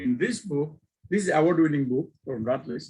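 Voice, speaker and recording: Speaking with a Bangladeshi accent, a man uses a somewhat breathy, fairly high voice with lively intonation at a moderate pace. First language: Bengali. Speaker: e-learning professor. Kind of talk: guest lecture. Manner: informal.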